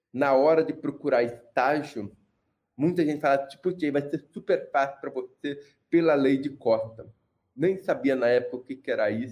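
A man with an unremarkable speaking voice talks at a moderate pace, fairly high in pitch with ordinary pitch variation. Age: 30s. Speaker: mechanical engineer and accessibility entrepreneur. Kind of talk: casual chat.

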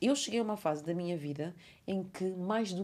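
A woman speaks at a moderate pace in a medium pitch, her tone animated, her intonation lively, and her voice somewhat breathy. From Cape Verde. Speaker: podcast host. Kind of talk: casual chat.

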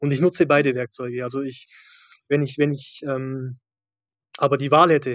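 A man speaks at a fairly high pitch in a monotone, flat intonation. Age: 30s. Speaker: maintenance electronics technician, former coaching client. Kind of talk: interview testimony.

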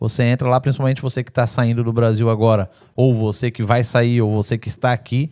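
The voice has a dark, mellow tone and moves at a fairly quick pace. The recording is very clean, with a silent background. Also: man, medium pitch for a man. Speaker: podcast host. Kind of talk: casual chat. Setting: studio. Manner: animated.

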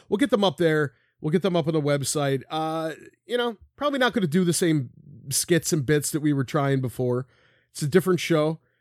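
A man with an American accent talks at a fairly quick pace in a fairly high pitch, with ordinary pitch variation. The recording is very clean with a silent background and a dry, close sound with no echo. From Philadelphia. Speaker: podcast co-host. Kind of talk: casual chat. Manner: animated.

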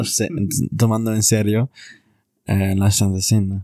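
Someone with an English accent is heard on a very clean recording with a silent background and a dry, close sound with no echo. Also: man. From US Southwest (Arizona). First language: English (speaking Spanish). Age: 20s. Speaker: returned missionary, university student. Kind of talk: religious casual conversation.

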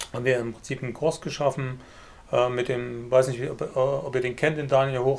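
The man's pitch sits in the medium range. He delivers everything in a monotone, flat intonation. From eastern Germany, Leipzig (Saxony). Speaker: online business entrepreneur and course lecturer. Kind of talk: casual interview chat.

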